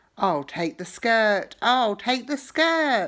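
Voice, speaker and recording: A croaky, high-pitched, female-sounding put-on character voice at a very slow pace, on a very clean recording with a silent background. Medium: read story. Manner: repetitive squawking.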